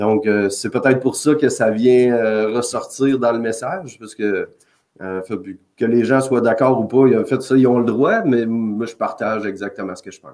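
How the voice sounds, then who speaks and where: Speaking with a Quebec accent, a man at medium pitch keeps a moderate pace and fairly even intonation while his loudness swings widely. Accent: Québécois French. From Quebec, Canada. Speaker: occupational safety consultant. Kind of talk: podcast interview. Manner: direct.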